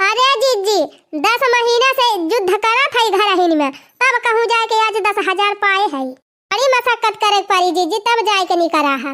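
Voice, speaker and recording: A cartoonish character voice speaks at a moderate pace. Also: woman, extremely high pitch for a woman. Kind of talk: village comedy cartoon.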